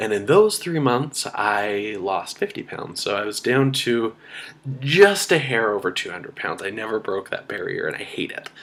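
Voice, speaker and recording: A man with a medium pitch talks at a moderate pace, his pitch swinging very widely. Noticeable background noise can be heard. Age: 20s. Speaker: weight loss vlogger, university student. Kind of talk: personal video diary. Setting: at home in apartment. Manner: hesitant, many filler ums.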